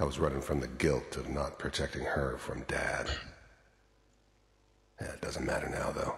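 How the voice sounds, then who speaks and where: A man's put-on character voice, raspy and very deep, low in pitch, at a moderate pace with long, frequent pauses and a slight echo. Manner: bitter, reflective.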